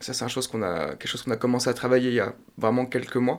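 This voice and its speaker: The speaker is a man with a medium-pitched voice. His intonation is monotone and flat. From France, Laval. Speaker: drummer. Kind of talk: radio interview.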